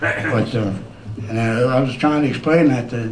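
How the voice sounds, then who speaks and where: A man at a medium pitch speaks with an American accent, with noticeable background noise and audible room echo. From Michigan, US Midwest. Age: old. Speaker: resident speaking at town meeting. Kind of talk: public comment at town meeting. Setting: town council meeting. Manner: fast; halting, many fillers.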